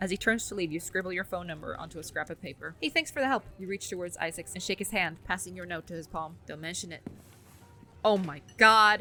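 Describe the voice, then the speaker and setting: Over music in the background, a woman at medium pitch talks at a very fast pace with ordinary pitch variation. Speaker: gaming streamer. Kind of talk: game playthrough, reading dialogue aloud.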